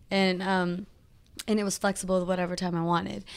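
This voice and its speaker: The woman speaks. Her intonation is monotone and flat. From Northern California (Modesto). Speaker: entertainer and social media influencer. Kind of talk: casual interview. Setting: office.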